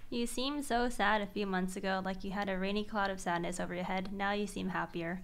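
Delivered at a very fast pace, the speech has hardly any pauses. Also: woman. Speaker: live streamer. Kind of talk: casual live stream chat. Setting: home streaming room. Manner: animated, excitable. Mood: cheerful, chatty. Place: home room. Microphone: studio mic.

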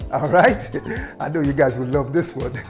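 Faint music plays in the background as a man talks. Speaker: fitness instructor. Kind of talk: workout intro, casual instruction. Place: home room. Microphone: lapel.

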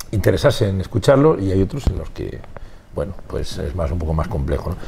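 Light background noise sits under a man talking fairly quickly, his pitch swinging very widely. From Spain, Valladolid. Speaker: rock musician. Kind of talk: interview. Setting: music venue. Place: bar. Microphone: lapel.

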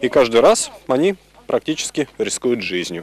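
At a fairly quick pace, a man with medium pitch speaks with very wide pitch swings, the sound dry with no echo. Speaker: TV news reporter. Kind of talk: TV news report. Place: waterside. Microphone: handheld.

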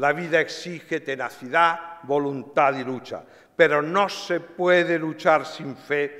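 A man speaks at a very slow pace with a fairly high pitch and a bright, sharp tone. His intonation stays fairly even over a quiet background. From Spain, Barcelona. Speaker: writer and lecturer. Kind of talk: lecture. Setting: stage with audience. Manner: formal. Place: hall. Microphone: podium.

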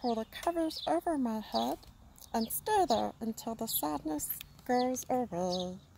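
This is an unforced reading voice. It is read aloud.

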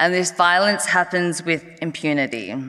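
A woman with a fairly low pitch speaks at a moderate pace. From Australia. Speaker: harm reduction advocate, NGO executive director; conference speaker. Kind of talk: conference speech. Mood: earnest, advocacy tone. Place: hall. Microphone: podium.

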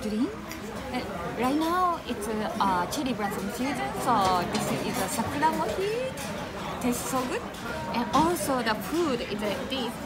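Against crowd noise in the background, a woman talks at a fairly slow pace with long, frequent pauses. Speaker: travel vlogger. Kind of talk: casual vlog chat. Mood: cheerful, smiling. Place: cafe. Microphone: phone near.

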